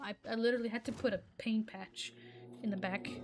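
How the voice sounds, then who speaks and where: Music playing behind a woman talking at a fairly quick pace. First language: Arabic. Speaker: gaming YouTuber. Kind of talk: gameplay commentary rant. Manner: animated, stammering.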